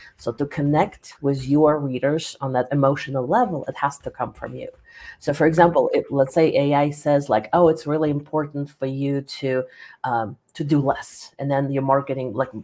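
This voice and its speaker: This woman has a non-native accent and a very deep, low pitch. Her tone is dark and mellow, with fairly even intonation. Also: moderate pace. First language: not English. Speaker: business author and coach. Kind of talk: interview.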